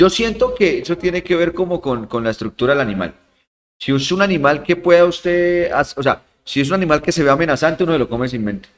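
Speaking very fast, a man with a high-pitched voice uses lively intonation. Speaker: podcast guest. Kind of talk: casual chat.

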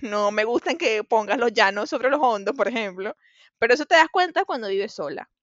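A woman with a Venezuelan accent, fairly high pitch and very wide pitch swings, at a fairly quick pace. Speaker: podcast co-host. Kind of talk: casual chat.

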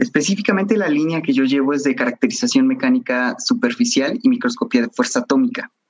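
Rushing at a very fast pace with hardly any pauses, the voice swings very widely in pitch. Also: man, high pitch for a man. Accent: Mexican. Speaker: technical sales representative. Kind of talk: interview. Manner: hesitant, many fillers.

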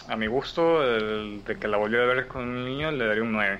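Speaking at a fairly slow pace, a man uses a medium pitch with ordinary pitch variation. Room echo is audible. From Ecuador. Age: young. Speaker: podcast community member. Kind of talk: casual chat.

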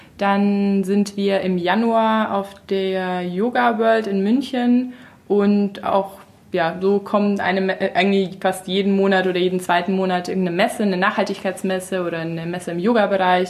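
At a moderate pace and with fairly even intonation, this is a normal speaking voice. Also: woman, medium pitch for a woman. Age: 30s. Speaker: natural cosmetics entrepreneur. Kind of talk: casual chat.

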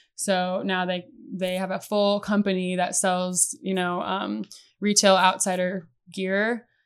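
A woman with a Midwestern American accent speaks at a medium pitch on a very clean recording with a silent background. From US Midwest (Iowa). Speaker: conservation biologist. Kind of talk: casual chat.

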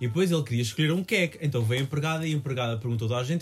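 A man with a fairly high pitch sounds somewhat breathy. His intonation is lively. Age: 20s. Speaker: podcast co-host. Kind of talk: casual chat.

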